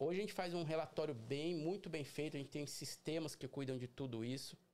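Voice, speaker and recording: A man speaks at a fairly quick pace in a plain, everyday voice, fairly high-pitched for a man, with ordinary pitch variation. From Brazil, São Paulo city. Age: 40s. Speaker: carpet and upholstery cleaning business owner. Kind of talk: casual interview. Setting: livestream.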